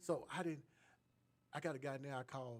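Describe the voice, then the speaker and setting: A man speaks at a medium pitch and a moderate pace, with fairly even intonation. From US South, Atlanta. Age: 60s. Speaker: cast member, actor. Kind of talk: casual talk-radio interview.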